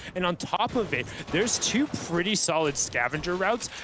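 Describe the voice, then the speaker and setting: A man's high-pitched voice with lively intonation over noticeable background noise. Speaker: esports caster. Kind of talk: live commentary. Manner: fast.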